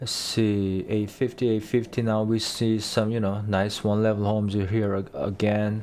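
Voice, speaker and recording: A man speaks at a fairly low pitch with fairly even intonation and hardly any pauses. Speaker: realtor. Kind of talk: real estate market walkthrough. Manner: slow; hesitant, many fillers.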